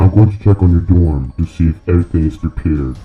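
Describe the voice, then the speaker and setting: Faint music plays behind a man using a put-on character voice, very deep and low in pitch, with ordinary pitch variation at a very fast pace. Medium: read story. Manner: polite, calm.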